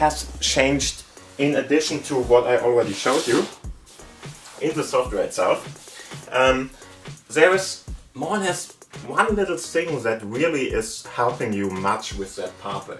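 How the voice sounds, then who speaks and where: A man with a German accent at a fairly slow pace, music in the background. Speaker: tech YouTuber. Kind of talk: tech tutorial talk to camera.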